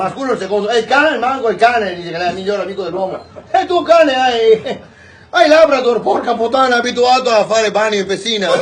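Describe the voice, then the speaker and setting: Over noticeable background noise, a man speaks at an extremely high pitch and a very fast pace. His intonation is lively. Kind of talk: joke telling. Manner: casual, lively.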